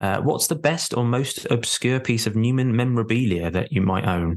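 This is an ordinary speaking voice from a man at a medium pitch. His pitch variation is ordinary, over a quiet background. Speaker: podcast host. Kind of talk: casual interview.

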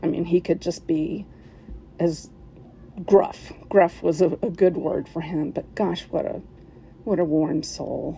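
Very slow speech with an American accent. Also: woman. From West Virginia, US. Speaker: listener submitting a story. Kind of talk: recorded personal story.

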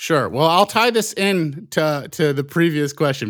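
In an American accent, a man with a fairly high pitch and an unremarkable speaking voice uses lively intonation, in a very clean recording with a silent background. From US Midwest (Indiana, Michigan). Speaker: film director. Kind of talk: casual interview.

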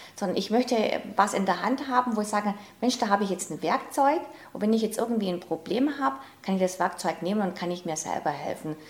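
Noticeable background noise accompanies a woman at a medium pitch. Her intonation is lively. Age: 50s. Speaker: self-help coach, former programmer. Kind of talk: interview.

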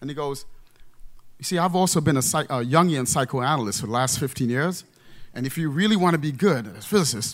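In a normal speaking voice with an American accent, the speaker goes at a fairly quick pace with lively intonation, in a very clean recording with a silent background. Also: man. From Trinidad, then the Bronx, New York. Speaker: theoretical physicist. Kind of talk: live storytelling.

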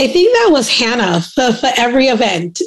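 With a slight New York accent, a woman speaks at a moderate pace. Her pitch swings very widely. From Brooklyn, New York (born in Trinidad). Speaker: aircraft maintenance apprentice. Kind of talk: casual chat.

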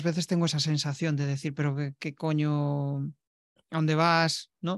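The man's voice is fairly high in pitch, and he speaks at a moderate pace. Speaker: podcast host. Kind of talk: interview conversation. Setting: video call. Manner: halting, many repetitions.

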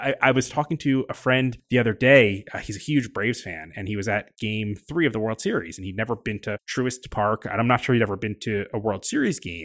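Speaking at a fairly quick pace with hardly any pauses, a man uses a normal speaking voice of medium pitch and ordinary pitch variation on a very clean recording with a silent background. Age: 40s. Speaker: podcast host, magazine editor. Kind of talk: casual interview. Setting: on location at a ballpark.

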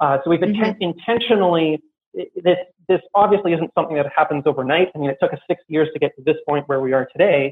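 With a Canadian accent, a man talks at a very fast pace in a fairly high pitch, using ordinary pitch variation. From Canada. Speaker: copywriter and marketing consultant. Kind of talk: interview.

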